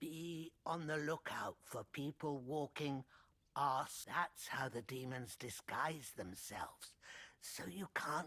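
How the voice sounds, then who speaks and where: Speaking fairly slowly, the speaker uses a put-on character voice at a low-to-middle pitch. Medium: video game. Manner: rambling, conspiratorial.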